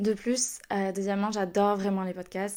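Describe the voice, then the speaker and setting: Over a silent background in a very clean recording, a woman talks at a fairly quick pace with a medium pitch and a dark, mellow tone. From southern France, Toulouse area. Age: 20s. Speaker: podcast host. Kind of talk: casual solo podcast talk. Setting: home recording at computer. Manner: very fast.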